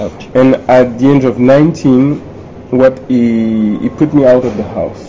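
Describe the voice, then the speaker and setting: With a French accent, a man speaks very slowly at a medium pitch and with fairly even intonation, over noticeable background noise. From France, Paris. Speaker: entrepreneur and author. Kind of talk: interview.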